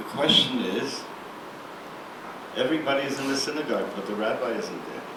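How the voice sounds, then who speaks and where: Against noticeable background noise, a man with a fairly high voice speaks with long, frequent pauses. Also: ordinary pitch variation, fairly quick pace. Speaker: rabbi and university professor. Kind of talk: lecture telling a folk story to an audience. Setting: lecture hall.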